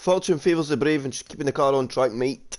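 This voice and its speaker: Against a quiet background, a man with a Scottish accent talks at a fairly quick pace in a fairly high voice with ordinary pitch variation. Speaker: sim racing league commentator. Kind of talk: live commentary. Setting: live stream.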